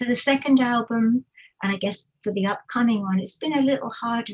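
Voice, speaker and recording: A woman's voice comes through somewhat breathy, with ordinary pitch variation. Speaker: musician and music writer. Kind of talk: casual interview. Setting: livestream video call.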